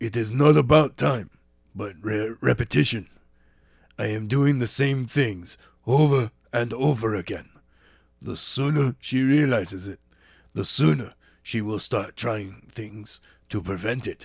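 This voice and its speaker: Using a put-on character voice, a man speaks at a medium pitch and a fairly slow pace with long, frequent pauses, on a very clean recording with a silent background. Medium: read story.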